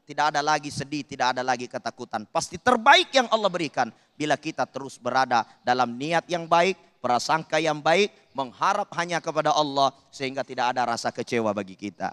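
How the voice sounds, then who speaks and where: In a Makassar accent, the speaker uses a bright, sharp tone at a fairly quick pace with lively intonation, the sound dry and close with no echo. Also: man, fairly high pitch for a man. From Makassar, South Sulawesi. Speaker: Islamic preacher. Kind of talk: sermon.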